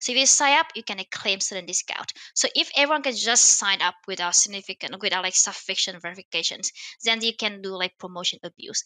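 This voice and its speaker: Speaking at a fairly quick pace, a woman has a Vietnamese accent and a bright, sharp tone. The sound is dry with no echo, and the background is quiet. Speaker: machine learning author and startup founder; podcast guest. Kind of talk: interview. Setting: remote call. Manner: hesitant, many fillers. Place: home room. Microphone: headset.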